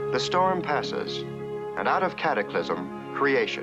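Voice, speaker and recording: With music in the background, a man talks at a fairly slow pace in a calm tone. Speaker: narrator. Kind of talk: nature documentary narration. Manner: calm, steady, lyrical.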